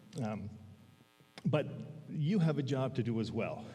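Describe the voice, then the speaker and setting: There is audible room echo around this man, whose tone is dark and mellow. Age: 60s. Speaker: lay preacher, men's Bible study leader. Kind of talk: sermon. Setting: church. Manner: halting.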